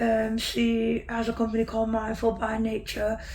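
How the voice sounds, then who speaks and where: A woman speaks at a moderate pace in a fairly high pitch. There is audible room echo. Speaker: patient sharing illness story. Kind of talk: interview testimony. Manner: hesitant, many fillers.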